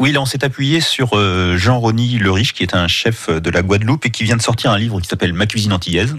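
This man's voice sits at a medium pitch with ordinary variation, delivered at a very fast pace. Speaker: food critic and journalist. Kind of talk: radio interview. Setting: radio studio. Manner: hesitant, repeats words.

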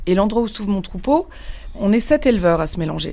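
At a fairly quick pace, a woman speaks with lively intonation and medium pitch. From Paris. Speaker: sheep farmer. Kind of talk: testimony.

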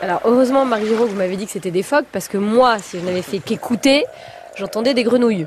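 Over noticeable background noise, a woman talks at a very fast pace in a fairly high pitch. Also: ordinary pitch variation. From Brittany. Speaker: radio host. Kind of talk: radio interview.

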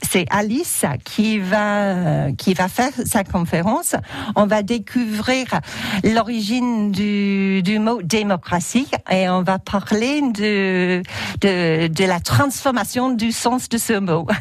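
Using an English accent, a woman speaks at a medium pitch and a very slow pace, with very even loudness and ordinary pitch variation. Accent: English-speaking accent in French. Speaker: theatre director. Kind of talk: radio interview. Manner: halting, many repetitions.

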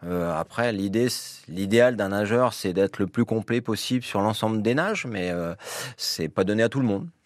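Moderate pace and ordinary pitch variation, with a dry, close sound and no echo. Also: man, fairly low pitch for a man. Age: 50s. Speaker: swimming club president. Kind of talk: radio interview. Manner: halting, many fillers.

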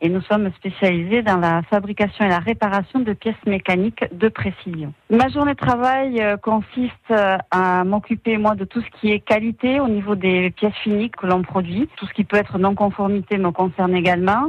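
A woman with a plain, everyday voice speaks at a moderate pace with ordinary pitch variation, in a dry, close sound with no echo. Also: medium pitch for a woman. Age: 30s. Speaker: quality manager at a precision engineering company. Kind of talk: radio company profile interview.

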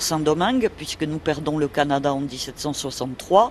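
A woman is speaking. Her pace is very slow. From Toulouse, southern France. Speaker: local historian. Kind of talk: radio interview.

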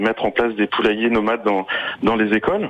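A man talks at a fairly quick pace and a fairly low pitch. Noticeable background noise runs underneath. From Sarthe, France. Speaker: environmental educator and association founder. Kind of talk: radio interview. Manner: hesitant, many fillers and repetitions.

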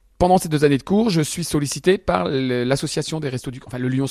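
The delivery moves at a fairly quick pace with lively intonation in a dry, close sound with no echo. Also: man. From Picardy, France (Albert, Somme). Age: 50s. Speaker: comedian. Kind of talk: radio interview. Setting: comedy club venue.

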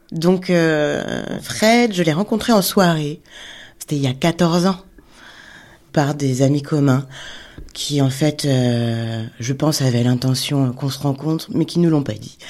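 A woman speaks very slowly with a very deep, low voice and lively intonation. Long pauses come often. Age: 40s. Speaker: illustrator. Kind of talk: personal testimony.

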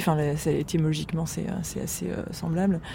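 A woman's fairly quick delivery, with fairly even intonation, comes through noticeable background noise. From western France, Deux-Sèvres. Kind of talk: casual chat. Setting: terrace of apartment.

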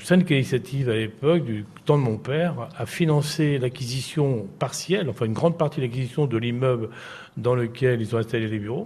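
A somewhat breathy voice at a fairly quick pace with ordinary pitch variation. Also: man, medium pitch for a man. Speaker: former mayor. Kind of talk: interview. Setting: live broadcast from a care home.

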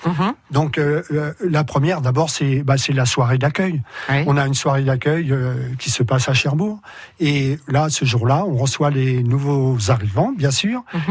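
In an ordinary speaking voice, a man speaks at a fairly slow pace and fairly high pitch, with ordinary pitch variation and very even loudness. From France. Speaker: volunteer association organiser. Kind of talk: radio interview.

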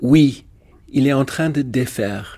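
This man talks at a very slow pace. His intonation is fairly even. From South Africa. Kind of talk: interview.

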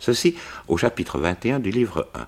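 Speaking very slowly, a man's voice carries vocal fry. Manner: measured, formal, clear diction, an explanatory storyteller.

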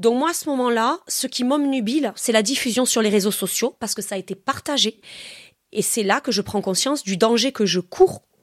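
A woman with a normal speaking voice talks at a fairly quick pace with a fairly high pitch and lively intonation, in a dry, close sound with no echo on a very clean recording with a silent background. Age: 30s. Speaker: science teacher. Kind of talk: testimony.

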